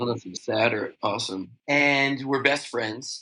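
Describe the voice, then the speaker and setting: A man with an American accent, a bright, sharp tone and a moderate pace. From New York City. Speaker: beverage company founder. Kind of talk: podcast interview. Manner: casual, animated.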